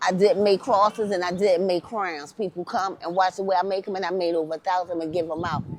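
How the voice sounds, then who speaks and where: A woman's medium-pitched voice at a very fast pace with hardly any pauses, fairly even intonation and noticeable background noise. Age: 50s. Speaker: interviewee, former addict. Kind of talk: street interview testimony. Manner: emotional, impassioned.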